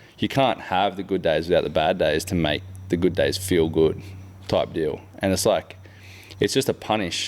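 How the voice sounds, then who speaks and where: With an Australian accent, a man speaks at a moderate pace and very even loudness. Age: 30s. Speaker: podcast host. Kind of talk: casual chat. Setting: boat workshop.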